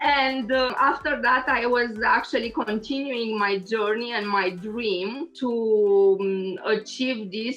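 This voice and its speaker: Against noticeable background noise, a woman with a Romanian accent talks at a fairly slow pace in a fairly high pitch with ordinary pitch variation. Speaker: engineer and lecturer. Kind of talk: interview. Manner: halting, many fillers.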